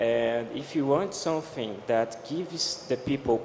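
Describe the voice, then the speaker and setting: Noticeable background noise surrounds a man speaking at a moderate pace with a Portuguese accent. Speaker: blockchain developer. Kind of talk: panel discussion. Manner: halting.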